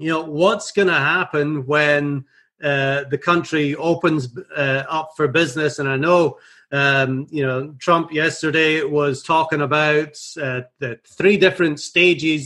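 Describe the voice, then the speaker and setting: With a bright, sharp tone and fairly even intonation, a man speaks at a fairly slow pace against a quiet background. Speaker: radio show host. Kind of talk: interview question. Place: studio. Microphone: studio mic.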